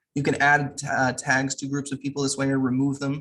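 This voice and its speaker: Talking very fast, a man keeps to a medium pitch. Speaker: tech trainer. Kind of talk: online training tutorial.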